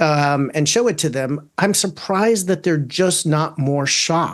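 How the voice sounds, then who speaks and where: Moderate pace, ordinary pitch variation, and a fairly high pitch from a man. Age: 50s. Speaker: attorney. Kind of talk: interview. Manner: halting, many fillers and repeats.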